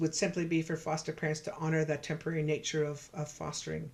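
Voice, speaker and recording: In a Canadian accent, a woman talks at a fairly quick pace. Her voice is very deep and low. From Canada, Saskatchewan (Cree, George Gordon First Nation). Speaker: professor and researcher. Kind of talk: virtual lecture presentation. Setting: virtual presentation. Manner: fast; hesitant, with fillers and repetitions.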